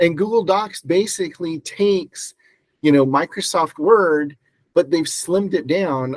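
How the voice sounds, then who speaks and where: This man has a normal speaking voice with an American accent, moving at a moderate pace with ordinary pitch variation. The sound is dry and close, without echo. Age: 60s. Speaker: real estate agent and mentor. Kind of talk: presentation. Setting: video call.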